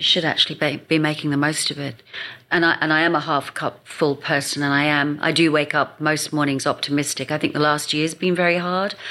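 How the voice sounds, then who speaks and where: Bright and sharp in tone yet very deep and low in pitch, a woman with an English accent speaks at a fairly quick pace in a monotone, flat intonation. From England. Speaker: marketing expert and speaker. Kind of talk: casual interview chat.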